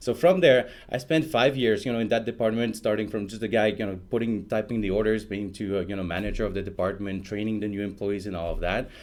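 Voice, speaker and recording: Speaking very fast with hardly any pauses, a man in a French Canadian accent uses a fairly low pitch and ordinary pitch variation. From Quebec. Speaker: software product evangelist. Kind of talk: interview. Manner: casual with many fillers.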